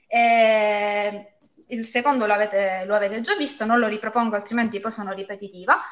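This woman has a normal speaking voice. She talks at a fairly quick pace with fairly even intonation. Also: fairly high pitch for a woman. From Calabria, Castrovillari (Cosenza). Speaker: lawyer and fantasy author. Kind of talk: live interview.

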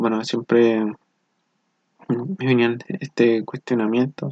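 A man with a plain, everyday voice at a medium pitch, fairly slow and fairly even in intonation, with a dry, close sound and no echo. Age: 20s. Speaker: engineering student. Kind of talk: motivational monologue.

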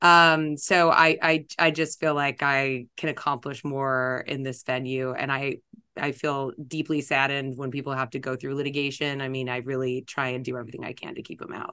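A woman's very deep, low voice in an American accent, bright and sharp in tone, monotone and flat, with hardly any pauses over a quiet background. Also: moderate pace. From Los Angeles, California. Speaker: estate planning attorney. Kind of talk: podcast interview.

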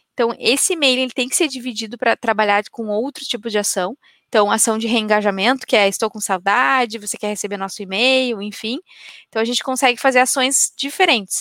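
The voice has a bright, sharp tone and ordinary pitch variation, moving at a fairly quick pace with a dry, close sound and no echo. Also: woman, fairly high pitch for a woman. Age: 30s. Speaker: marketing software executive. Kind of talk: interview on a business live stream.

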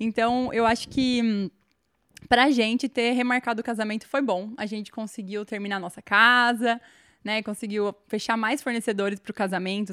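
Over a silent background in a very clean, dry, close recording with no echo, a woman talks at a moderate pace in a plain, everyday voice, fairly high in pitch with fairly even intonation. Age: 20s. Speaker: confectioner and bride. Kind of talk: casual interview chat.

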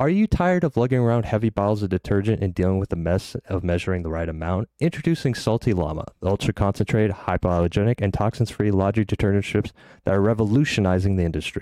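Speaking at a very fast pace with hardly any pauses, this voice stays soft-spoken and dark, mellow in tone. The sound is dry and close with no echo, on a very clean recording with a silent background. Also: man, fairly low pitch for a man, ordinary pitch variation. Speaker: podcast host. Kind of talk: casual interview.

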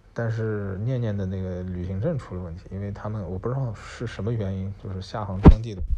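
Audible room echo surrounds a man with a fairly low voice. He talks at a fairly quick pace with ordinary pitch variation. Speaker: podcast co-host, incoming university professor. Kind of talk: casual chat.

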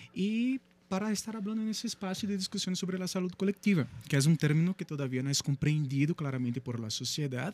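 A man with a Brazilian accent, lively intonation and a fairly quick pace, in a dry, close sound with no echo. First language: Portuguese (speaking Spanish). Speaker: psychology professor. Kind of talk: radio interview. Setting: radio studio.

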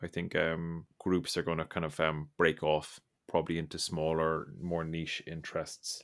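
In a very clean recording with a silent background, a man with an Irish accent speaks at a moderate pace in a very deep, low pitch, his intonation monotone and flat. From Ireland. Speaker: podcast host. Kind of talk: casual chat.

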